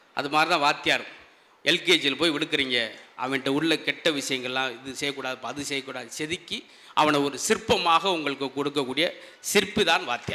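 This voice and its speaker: Bright and sharp in tone, a man's fairly high voice shows ordinary pitch variation. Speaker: stand-up comedian. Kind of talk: comedy speech to a live audience.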